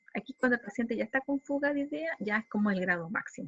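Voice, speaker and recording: A woman talks very fast with lively intonation. Her voice is somewhat breathy. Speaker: psychology lecturer. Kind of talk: lecture.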